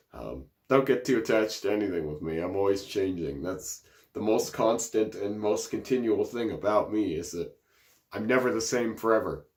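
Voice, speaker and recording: A man speaks with a fairly low pitch and vocal fry at a moderate pace, with ordinary pitch variation. The recording is very clean, with a silent background. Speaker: body modification vlogger. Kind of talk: casual vlog talk.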